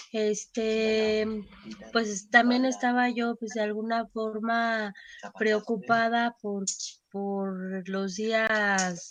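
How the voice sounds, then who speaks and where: A woman's fairly high voice at a very slow pace, flat and monotone in intonation. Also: quiet background. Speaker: church member. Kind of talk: testimony.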